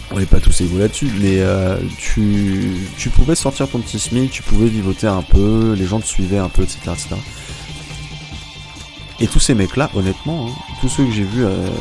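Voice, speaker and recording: A man speaks at a moderate pace in a fairly low voice with ordinary pitch variation. He takes long, frequent pauses while music plays in the background. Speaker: gaming YouTuber and streamer. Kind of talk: casual late-night gaming monologue. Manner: rambling, hesitant.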